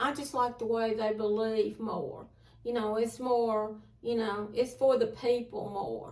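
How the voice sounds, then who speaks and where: A woman with an Alabama accent, fairly high-pitched, at a fairly slow pace with monotone, flat intonation. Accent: Southern US (Alabama). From Southern United States. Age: 60s. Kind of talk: interview answer.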